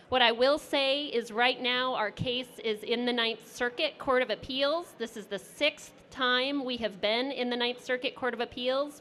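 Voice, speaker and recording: Loud and high-pitched, a woman speaks with a bright, sharp tone and fairly even intonation at a fairly slow pace, with hardly any pauses. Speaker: lawyer. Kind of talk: panel presentation.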